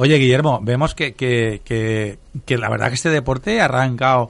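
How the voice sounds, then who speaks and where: A man with an unremarkable speaking voice talks at a fairly slow pace in a medium pitch. He uses ordinary pitch variation against a quiet background. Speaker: radio host. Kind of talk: casual chat. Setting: studio.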